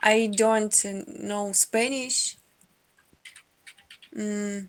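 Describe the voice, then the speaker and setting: This woman speaks with a Russian accent. Her fairly high voice has fairly even intonation. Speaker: video chat stranger. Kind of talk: casual chat. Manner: halting.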